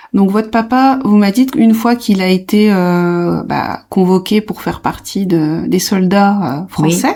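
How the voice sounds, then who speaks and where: Her voice dark and mellow at a medium pitch, a woman speaks at a fairly slow pace with hardly any pauses and ordinary pitch variation. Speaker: podcast host, home nurse. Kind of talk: interview questions.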